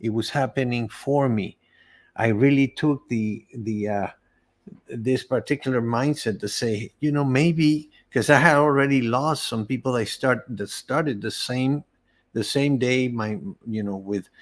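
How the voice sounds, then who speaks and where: A man with a Spanish accent, medium pitch and ordinary pitch variation, at a fairly slow pace, in a very clean recording with a silent background. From Venezuela. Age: 60s. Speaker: cancer survivor, entrepreneur. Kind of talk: interview testimony. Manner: halting, many repeated words.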